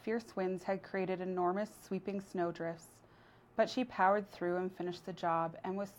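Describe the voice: Fairly even intonation in plain reading aloud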